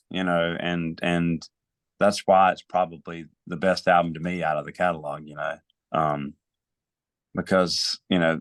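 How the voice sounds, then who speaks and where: In an American accent, a man with a very deep, low pitch talks at a moderate pace, the sound dry and close with no echo. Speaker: podcast host. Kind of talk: casual chat.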